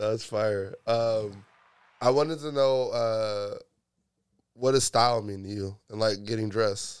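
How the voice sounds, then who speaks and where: A man with a plain, everyday voice speaks at a fairly slow pace, his medium pitch held in fairly even intonation. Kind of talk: casual chat.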